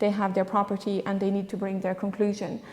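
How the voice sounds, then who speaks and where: Noticeable background noise and audible room echo surround a woman speaking at a medium pitch with a French accent. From France. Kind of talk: panel discussion. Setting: church conference with audience.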